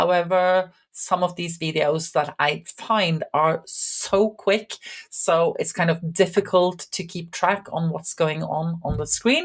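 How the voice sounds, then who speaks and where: With a Norwegian accent and a fairly low pitch, a woman talks at a very slow pace with hardly any pauses, fairly even intonation and a calm tone on a very clean recording with a silent background. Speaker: IT instructor. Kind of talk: channel introduction.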